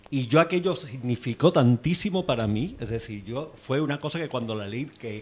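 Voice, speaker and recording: A man talks at a moderate pace with a medium pitch. His voice is somewhat breathy, with lively intonation. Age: 60s. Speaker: audience member. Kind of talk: audience comment at book talk. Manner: halting.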